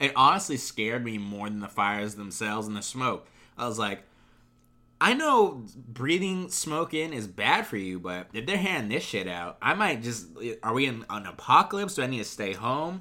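Very wide pitch swings and a bright, sharp tone come through at a moderate pace on a very clean recording with a silent background. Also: man, medium pitch for a man. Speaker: podcast co-host. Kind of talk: casual chat. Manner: playful.

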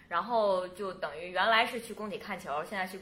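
A woman with a bright, sharp tone at a moderate pace, with audible room echo. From northeast China, Changchun. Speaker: podcast host. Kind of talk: casual interview chat.

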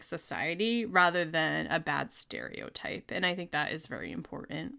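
A woman's fairly low voice with a bright, sharp tone and vocal fry, with an American accent, on a very clean recording with a silent background. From New Jersey. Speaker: podcast guest. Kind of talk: casual chat.

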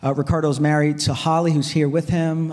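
The speech comes at a fairly quick pace in a monotone, flat intonation. Noticeable background noise is present. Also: man. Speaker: pastor. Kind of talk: sermon. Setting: church.

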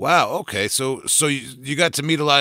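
With a Long Island accent, a man talks in a bright, sharp tone. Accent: Long Island New York. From Long Island, New York. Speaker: podcast host. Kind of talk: casual interview. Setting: video call. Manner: casual, profane.

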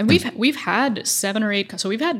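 A woman speaks with a somewhat breathy voice and very wide pitch swings in a very clean recording with a silent background. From Middle East (Oman and Dubai), Pakistani family. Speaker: accelerator managing director and investor. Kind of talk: casual interview chat.

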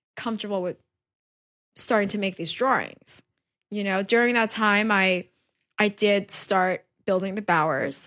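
On a very clean recording with a silent background, a woman with a New York accent speaks at a moderate pace, with a medium pitch and a bright, sharp tone. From New York, Queens. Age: 30s. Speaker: painter. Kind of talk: casual chat. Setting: artist's studio.

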